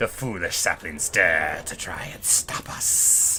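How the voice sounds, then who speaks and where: A man's put-on character voice, whispering and hissing at a fairly slow pace. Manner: hissing, hostile.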